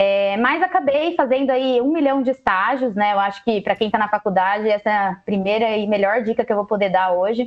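Here a woman talks at a fairly quick pace. Her intonation is lively. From Brazil, Jundiaí (São Paulo state). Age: 30s. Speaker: innovation professional. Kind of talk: casual chat. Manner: energetic.

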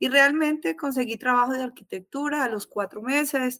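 A woman's bright, sharp voice at a moderate pace, with ordinary pitch variation, in a very clean recording with a silent background. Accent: strong Colombian paisa. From Colombia, Salento (Quindío). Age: 40s. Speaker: architect. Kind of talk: casual chat.

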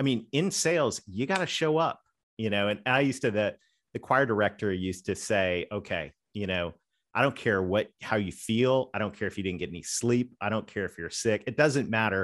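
With a Southern US accent, a man speaks at a fairly quick pace and fairly low pitch, using ordinary pitch variation in a very clean recording with a silent background. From Canada. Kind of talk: podcast interview.

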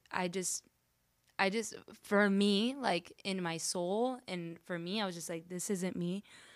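A woman's normal speaking voice in an American accent, medium in pitch, fairly slow, with fairly even intonation, in a very clean recording with a silent background. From Miami, Florida. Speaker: DJ. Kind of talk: casual interview.

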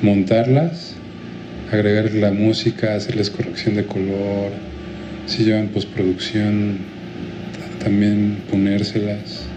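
Speaking very slowly, a man uses a fairly low pitch. Noticeable background noise and audible room echo are present. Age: 30s. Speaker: video editor. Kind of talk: casual chat.

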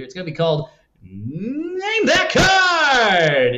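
A man uses a put-on character voice, high-pitched, raised and projected. He speaks at a very slow pace. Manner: bright, showy announcer delivery.

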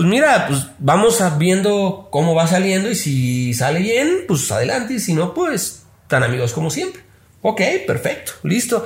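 In a room with audible echo, a man with a high pitch talks at a fairly slow pace using very wide pitch swings. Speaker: social media consultant. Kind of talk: casual chat.

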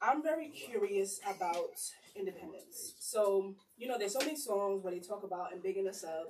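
At a fairly quick pace, a woman with a medium pitch talks in an ordinary speaking voice with lively intonation. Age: 20s. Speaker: podcast host. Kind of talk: casual group chat.

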